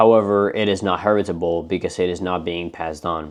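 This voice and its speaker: Fairly quick and fairly even in intonation, a man's voice moves along. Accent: non-native. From not the US. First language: not English. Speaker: pet reptile keeper and breeder. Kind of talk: educational tutorial.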